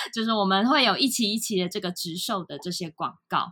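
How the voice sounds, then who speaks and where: Over a silent background in a very clean recording, a woman talks at a moderate pace. Her tone is bright and sharp, with ordinary pitch variation. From Taiwan. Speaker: startup founder and CEO. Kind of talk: podcast interview.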